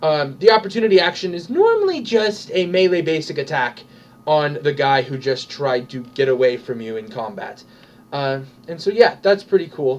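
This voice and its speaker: Over noticeable background noise, a man talks at a moderate pace in a fairly high voice, with lively intonation and big swings in loudness. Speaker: tabletop gaming video host. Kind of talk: tutorial. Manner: casual, with many fillers.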